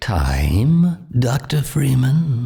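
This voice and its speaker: A man does a put-on character voice at a medium pitch. His pitch varies in an ordinary way. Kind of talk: eerie formal monologue. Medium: video game. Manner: oddly paced, formal, polite.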